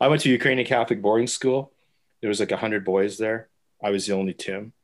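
A man with a Canadian accent speaks in an unremarkable speaking voice, his pitch varying in an ordinary way against a quiet background. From Canada, Winnipeg. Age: 50s. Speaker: newspaper photographer. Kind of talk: casual interview.

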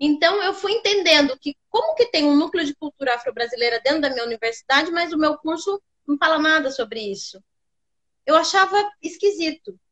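A woman's extremely high-pitched voice with very wide pitch swings, at a fairly quick pace. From Sorocaba, interior of São Paulo state, Brazil. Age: 30s. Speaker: actress and academic researcher. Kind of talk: interview on a live stream.

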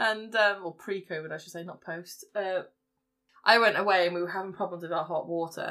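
In an English accent, a woman of medium pitch with a bright, sharp tone speaks with fairly even intonation and big swings in loudness. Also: fairly quick pace. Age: 20s. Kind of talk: casual chat.

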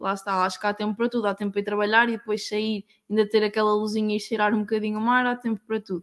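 Talking very fast with hardly any pauses, a woman uses a fairly high pitch and monotone, flat intonation in a very clean recording with a silent background and a dry, close sound with no echo. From Portugal, Aveiro district. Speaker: working student. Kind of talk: casual chat.

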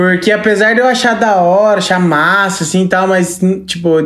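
Room echo is audible in this recording. Noticeable background noise is also present. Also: woman. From Brazil, Registro, Vale do Ribeira (São Paulo state). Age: 20s. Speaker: sertanejo singer. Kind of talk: casual chat.

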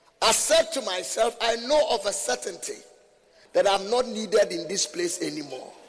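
A man's animated tone at a moderate pace, with noticeable background noise. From Ghana. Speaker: visiting preacher. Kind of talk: sermon. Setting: church with congregation.

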